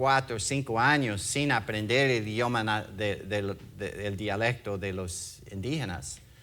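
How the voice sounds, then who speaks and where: A man with a non-native accent speaks at a very slow pace in a bright, sharp tone. His pitch varies in an ordinary way, and the room echo is audible. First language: English (speaking Spanish). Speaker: pastor, former missionary. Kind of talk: sermon. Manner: halting, many fillers.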